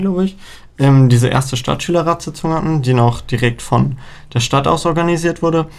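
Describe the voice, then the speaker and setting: Man's voice: a normal speaking voice, moderate in pace, with ordinary pitch variation. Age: young. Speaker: student council chair. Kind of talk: casual interview.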